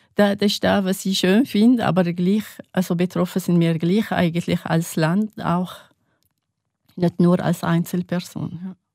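A woman speaks at a fairly slow pace in a fairly low pitch, her tone dark and mellow, with fairly even intonation and very even loudness on a very clean recording with a silent background. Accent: Arabic. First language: Arabic (speaking German). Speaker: religion teacher. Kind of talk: interview. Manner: halting.

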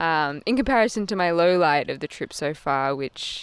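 A woman talks at a fairly slow pace with an Australian accent. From Australia, Canberra. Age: 20s. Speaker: cyclist and architectural designer. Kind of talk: casual chat.

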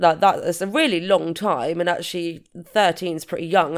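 Speaking at a moderate pace, a woman uses a fairly low pitch. Her intonation is fairly even. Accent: British. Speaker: true crime podcast co-host. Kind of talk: casual chat, commentary.

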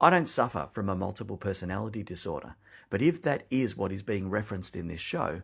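Against a quiet background, a man with an Australian accent talks at a fairly quick pace with lively intonation. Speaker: listener leaving an audio message. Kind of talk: recorded voice message.

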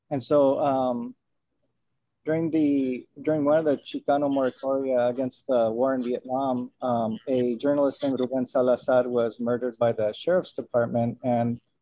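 A man with an American accent, medium in pitch, dark and mellow in tone, at a moderate pace with fairly even intonation and a dry, close sound with no echo. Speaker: artist. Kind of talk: casual chat. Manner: halting.

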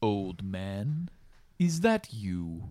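A rumbling, put-on character voice swings very widely in pitch. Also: man, fairly low pitch for a man. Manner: menacing.

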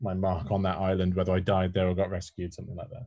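A man speaks at a fairly quick pace. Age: 30s. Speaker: employee experience specialist and author. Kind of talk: casual interview. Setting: remote call from home spare room.

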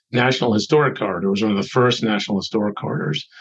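A man speaks in an American accent with an unremarkable speaking voice. His pitch is fairly low, with ordinary pitch variation. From Boston area. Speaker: nonprofit executive director. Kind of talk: interview.

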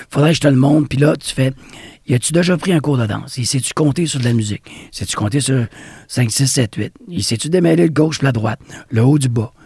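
At a fairly quick pace, a man talks with lively intonation in a somewhat breathy voice of dark, mellow tone. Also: medium pitch for a man, dry, close sound with no echo. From Quebec, Bas-Saint-Laurent. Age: 50s. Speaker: dance studio owner and former breakdancer. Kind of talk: interview.

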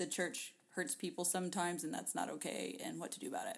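A woman talks at a medium pitch with vocal fry. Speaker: podcast co-host. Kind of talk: casual chat.

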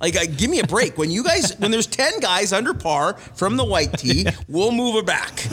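At a moderate pace, a man with a high voice swings his pitch very widely while keeping his loudness very even, with noticeable background noise behind him. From Winnipeg, Manitoba, Canada. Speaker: golf club director and golf pro. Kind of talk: casual chat.

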